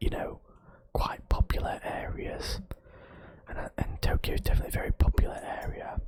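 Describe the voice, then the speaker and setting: A man whispers in a relaxed tone at a moderate pace. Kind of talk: ASMR exploration narration. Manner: casual, hesitant, relaxed.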